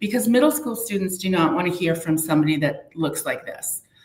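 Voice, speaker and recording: Audible room echo surrounds a woman with a New Hampshire accent speaking at a medium pitch. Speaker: community prevention outreach worker. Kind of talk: live interview.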